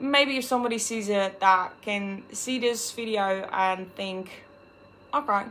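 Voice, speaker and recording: This woman has a bright, sharp tone, ordinary pitch variation and a fairly slow pace. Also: medium pitch for a woman. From Netherlands. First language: Dutch. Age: 20s. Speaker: vlogger. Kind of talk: personal vlog monologue.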